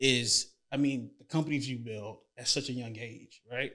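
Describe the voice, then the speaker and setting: With an American accent, a man speaks in a bright, sharp tone. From Tampa, Florida. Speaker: podcast host. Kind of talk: casual interview; scripted show intro. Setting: studio. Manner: halting, repeats words.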